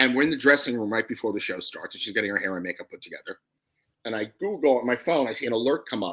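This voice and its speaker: A man's very fast, medium-pitched speech with lively intonation, in a New York accent. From New York, Brooklyn. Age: 60s. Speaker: comedy writer. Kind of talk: casual chat.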